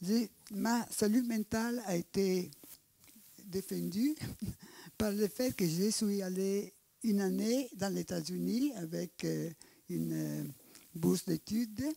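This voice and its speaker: A voice with an Italian accent has a dark, mellow tone and ordinary pitch variation. It moves at a very slow pace with long, frequent pauses. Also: woman, medium pitch for a woman. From Italy. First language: Italian (speaking French). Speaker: anthropologist, audience member. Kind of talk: audience question. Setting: public evening debate.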